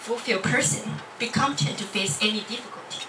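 Over noticeable background noise, a woman with a Chinese accent speaks at a fairly high pitch. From Taiwan. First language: Mandarin Chinese. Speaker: university student. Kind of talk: club speech. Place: classroom. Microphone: pa.

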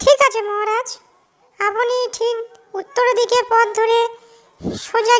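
A woman performs a cartoonish character voice. She moves along at a moderate pace. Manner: respectful, warm, courteous.

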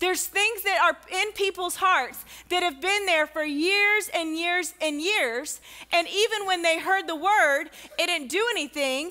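A woman speaks in a raised, projected voice at a fairly slow pace, her loudness very even and her pitch variation ordinary. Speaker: pastor. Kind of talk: sermon. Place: church.

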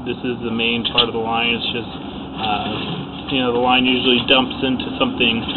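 Noticeable background noise runs under the recording. A man speaks at a moderate pace. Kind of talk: work commentary for a client.

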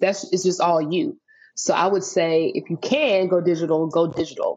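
A woman with a fairly low voice and an American accent, at a moderate pace. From US South, Nashville, Tennessee; Tennessee. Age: 30s. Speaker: faith and wellness entrepreneur; podcast guest. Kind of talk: casual interview chat. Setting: video call. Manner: animated. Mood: relaxed, advising. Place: home room. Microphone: video call.

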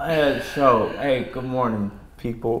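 The delivery is fairly slow, with fairly even intonation. Audible room echo and light background noise sit behind it. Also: man. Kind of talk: comedic sketch dialogue. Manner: groggy, pained hungover voice. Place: home room. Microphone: camera far.

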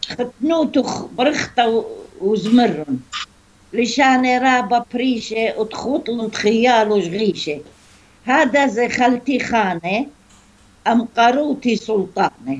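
A woman speaks at a very slow pace, her loudness very even and her pitch variation ordinary. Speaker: storyteller. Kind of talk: reading a folk tale. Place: home room. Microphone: video call.

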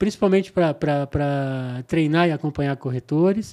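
The man's moderate pace and ordinary pitch variation stand out against a quiet background. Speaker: podcast guest. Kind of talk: interview answer. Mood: relaxed, smiling. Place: studio. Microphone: studio mic.

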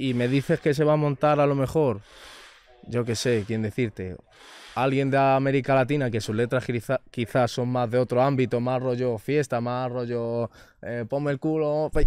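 A man at a moderate pace with fairly even intonation, in a dry sound with no echo. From Spain, Madrid area (Rivas); Spain. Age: 20s. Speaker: reggaeton singer; interview guest. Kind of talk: casual interview chat. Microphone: studio mic.

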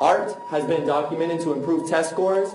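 Over faint background music and audible room echo, a man with a high pitch speaks at a moderate pace. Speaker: martial arts teacher. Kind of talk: public talk. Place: stage.

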